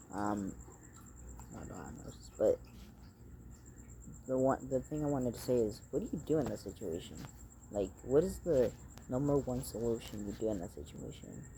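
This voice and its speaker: Speaking at a medium pitch and moderate pace, a man shows vocal fry and very wide pitch swings. His loudness shifts a great deal, and he takes long, frequent pauses. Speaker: vlogger. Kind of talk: casual monologue to camera. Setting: outdoors at night. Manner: halting, filler-heavy; speaking fairly loud.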